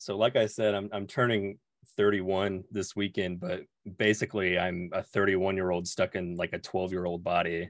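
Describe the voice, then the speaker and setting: With an American accent, a man talks at a fairly quick pace in a very deep, low voice. His intonation is monotone and flat, and the sound is dry and close with no echo. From Oklahoma. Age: 30s. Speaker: YouTuber and state healthcare worker. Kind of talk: casual chat. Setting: video call.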